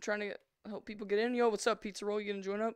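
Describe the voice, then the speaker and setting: Against a quiet background with dry sound and no echo, a woman speaks in an animated tone. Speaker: gaming streamer. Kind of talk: live gameplay stream chat. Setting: home VR setup, live stream. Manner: fast talker. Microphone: headset.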